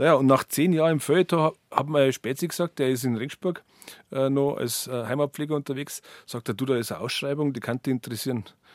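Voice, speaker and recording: His pitch is fairly high. The man talks very fast. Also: ordinary pitch variation, dry, close sound with no echo. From Bavaria, Berchtesgadener Land. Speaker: author and journalist, heritage association director. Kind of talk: radio interview. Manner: halting, many repetitions.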